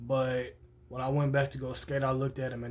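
A somewhat breathy man speaks at a moderate pace over light background noise. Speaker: vlogger. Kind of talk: casual vlog chat, storytelling. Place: home room. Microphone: phone near.

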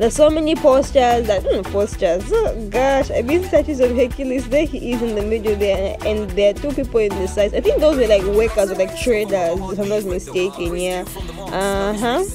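A woman speaks in a dry sound with no echo. Clear music plays in the background. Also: moderate pace, hardly any pauses. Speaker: travel vlogger. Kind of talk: casual vlog chat. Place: tunnel cave. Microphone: phone near.

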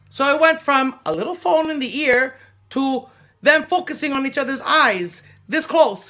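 A woman projects a raised voice with a bright, sharp tone. She keeps a moderate pace against a quiet background. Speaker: comedian acting out a skit. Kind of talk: comic monologue with impressions. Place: home room. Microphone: phone near.

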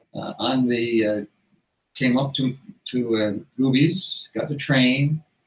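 A man's somewhat breathy, medium-pitched voice with fairly even intonation and audible room echo. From Newfoundland, Canada. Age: 80s+. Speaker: retired family physician and author. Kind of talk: interview answer. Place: home room.

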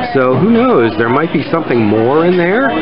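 There is music in the background as a man speaks. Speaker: potter vlogger at dinner. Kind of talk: casual vlog chat. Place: cafe. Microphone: phone near.

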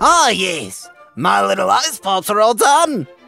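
Someone puts on a character voice, fairly high-pitched and fairly slow. Faint music plays in the background. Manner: excitable, frantic.

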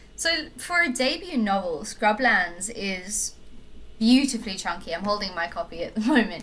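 A woman with a fairly high pitch and very wide pitch swings talks at a moderate pace against noticeable background noise. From South Africa. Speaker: podcast host. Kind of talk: casual chat. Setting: remote call.

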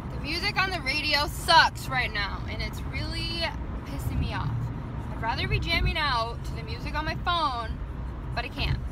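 Loud background noise surrounds a woman speaking at a moderate pace, with a dry sound and no echo. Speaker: vlogger. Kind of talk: casual vlog chat. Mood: playful, upbeat. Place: car. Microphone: phone near.

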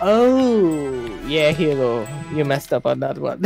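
A man at a very slow pace, in a dry sound with no echo, over clear music in the background. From Trinidad, East Indian heritage. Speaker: co-op game player on voice chat. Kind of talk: casual gaming commentary. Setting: online voice chat. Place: home room.

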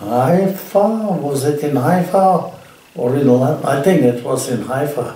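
Room echo is audible around a man's voice. He speaks very slowly with ordinary pitch variation. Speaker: storyteller, interviewee. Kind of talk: interview answer, anecdote telling. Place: home room.

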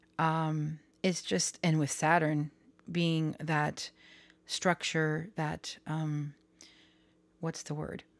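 In a very clean recording with a silent background, a woman talks at a very slow pace with long, frequent pauses, her very deep, low pitch held in a monotone, flat intonation. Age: 30s. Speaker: tarot reader and astrology youtuber. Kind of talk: casual vlog monologue. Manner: rambling with many fillers.

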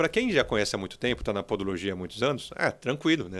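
Vocal fry runs through the man's voice. He speaks at a very fast pace. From Brazil. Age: 40s. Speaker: entrepreneur; podcast interviewer. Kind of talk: interview. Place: studio. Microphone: studio mic.

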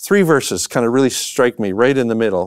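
Against a quiet background, a man with a Canadian accent talks at a fairly quick pace. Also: dry sound with no echo. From Canadian prairies. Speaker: professor and minister; professor, minister. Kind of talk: conversational lecture. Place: studio.

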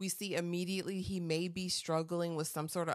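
Music plays in the background. A woman speaks over it at a fairly quick pace. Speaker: TV and film reviewer. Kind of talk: casual review talk to camera. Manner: chatty, enthusiastic. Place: home room. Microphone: studio mic.

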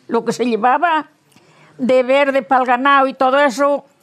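A woman speaks at a high pitch and a moderate pace. The background is quiet. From Asturias, rural western Asturias. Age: 80s+. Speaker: elderly villager. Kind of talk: interview. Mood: relaxed, matter-of-fact. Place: garden. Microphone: lapel.

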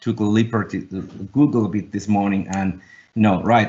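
A man speaks in a Finnish accent at a fairly slow pace. His pitch sits fairly low. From Finland. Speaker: design agency founder and executive; panelist. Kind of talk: webinar panel discussion. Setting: video call. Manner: halting. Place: home room. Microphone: webcam.

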